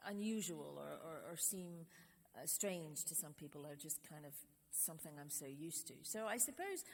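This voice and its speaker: A woman's very deep, low voice with ordinary pitch variation and a Scottish accent. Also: moderate pace. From Scotland. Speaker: trip leader. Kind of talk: interview answer.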